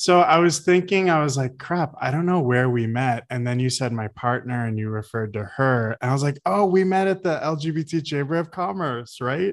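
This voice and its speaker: This man has a normal speaking voice and a moderate pace, with hardly any pauses. His intonation is lively. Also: fairly high pitch for a man. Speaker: podcast host. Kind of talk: casual chat.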